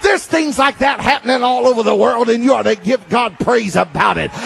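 A man with a Southern US accent talks at a fairly quick pace in an animated tone. His pitch is extremely high, with music playing in the background. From US South. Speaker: preacher. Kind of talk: sermon. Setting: stage with audience. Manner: fervent, rallying the congregation in praise. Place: church. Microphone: handheld.

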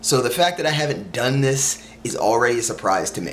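A man talks at a moderate pace with very wide pitch swings over light background noise. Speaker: vlogger. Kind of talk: casual vlog chat. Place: home room. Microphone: camera far.

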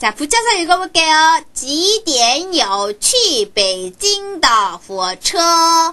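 A cartoonish character voice sits at an extremely high pitch with very wide pitch swings. The pace is very slow. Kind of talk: language lesson. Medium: puppet. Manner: slow, clear.

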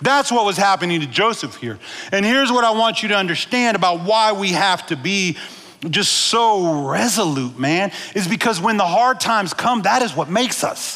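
With lively intonation and a bright, sharp tone, a man speaks at a moderate pace in a high pitch.

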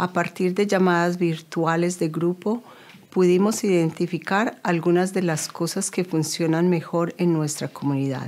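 At a fairly slow pace, a woman speaks with a fairly low pitch, fairly even intonation and very even loudness. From Colombia. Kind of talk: scripted narration. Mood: calm, serious. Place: office.

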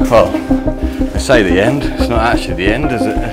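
Loud music fills the background. Through it, a man talks at a moderate pace. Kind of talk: casual vlog chat. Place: tunnel cave. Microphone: phone near.

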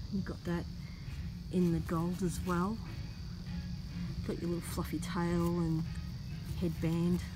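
Moderate pace with noticeable background noise. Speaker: shopper vlogger. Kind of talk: casual vlog chat. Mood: delighted, gushing. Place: shop. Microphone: phone near.

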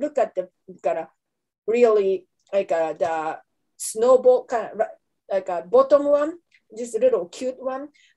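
A woman with a Japanese accent speaks at a fairly slow pace in a dark, mellow tone with a fairly high pitch. Her intonation is lively, and the background is quiet. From Japan, Kanto region. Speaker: anthropology professor; professor presenting a lecture. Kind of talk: lecture. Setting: webinar. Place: home room. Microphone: webcam.

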